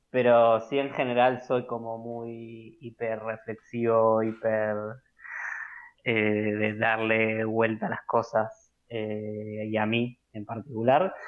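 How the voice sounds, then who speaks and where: A man speaks very slowly in a Rioplatense accent, his pitch medium. His intonation stays flat and monotone. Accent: Rioplatense Spanish (porteño). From Buenos Aires, Argentina (Caballito). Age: 20s. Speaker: university graduate, podcast interviewee. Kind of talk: casual interview. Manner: hesitant, many fillers.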